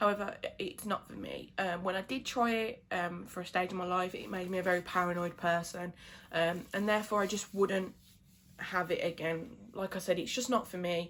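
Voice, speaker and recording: With a British accent, the voice moves at a moderate pace with fairly even intonation. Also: woman, medium pitch for a woman. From England. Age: 20s. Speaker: beauty vlogger. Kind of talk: casual chat. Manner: casual, many fillers.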